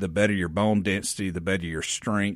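A man with a normal speaking voice and fairly low pitch speaks with fairly even intonation on a very clean recording with a silent background. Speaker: physician at a men's health clinic. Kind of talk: radio interview. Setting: radio studio.

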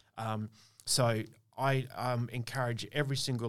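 With an Australian accent, a man talks at a medium pitch in a monotone, flat intonation. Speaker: pharmacy owner and podcast host. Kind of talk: casual chat. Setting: studio. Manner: loud.

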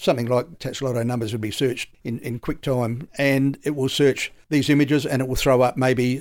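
Here a man speaks with an Australian accent. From South Australia. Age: 70s. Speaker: retired police detective. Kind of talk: interview.

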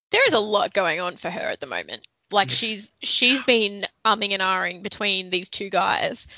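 A woman with a plain, everyday voice speaks at a moderate pace and medium pitch, using ordinary pitch variation and hardly any pauses. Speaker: podcast co-host. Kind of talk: casual chat.

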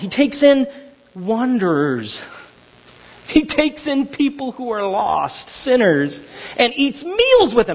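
A growling, put-on character voice delivers its lines at a fairly slow pace. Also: woman, high pitch for a woman. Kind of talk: preaching, dramatized retelling. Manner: growling, grumbling, disapproving.

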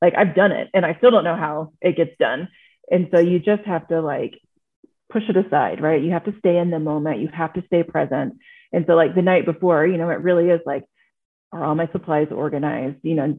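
Fairly quick and fairly low in pitch, a woman speaks in a normal speaking voice. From Texas. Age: 40s. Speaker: marathon swimmer. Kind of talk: casual chat.

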